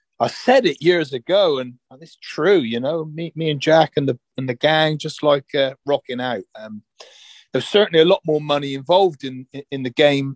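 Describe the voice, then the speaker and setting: A man with an ordinary speaking voice talks at a moderate pace and fairly high pitch, with ordinary pitch variation and big swings in loudness. The sound is dry and close, with no echo. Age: 40s. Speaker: rock singer. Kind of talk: casual chat.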